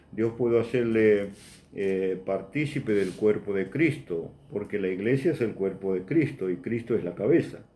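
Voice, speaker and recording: Fairly low-pitched and dark, mellow in tone, a man speaks at a fairly slow pace with ordinary pitch variation. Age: 60s. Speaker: preacher. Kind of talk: sermon.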